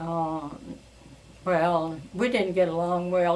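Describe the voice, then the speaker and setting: A woman's fairly low voice at a very slow pace. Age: old. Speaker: great-grandmother. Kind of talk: family interview answer. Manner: hesitant, halting.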